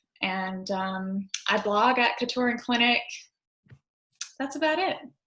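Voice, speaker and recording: A woman speaks with a Southern US accent. Her voice is fairly high and her pace fairly slow. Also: lively intonation. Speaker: physician assistant. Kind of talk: panel discussion. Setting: live recorded podcast.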